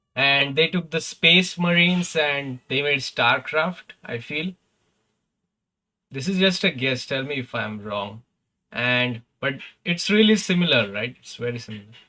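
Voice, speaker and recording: With a non-native accent, a man speaks at a fairly slow pace in a fairly high pitch, his tone bright and sharp, his intonation lively and his loudness swinging widely. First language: not English. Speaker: gaming streamer. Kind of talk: live stream commentary. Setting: live stream. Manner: casual, hesitant with fillers.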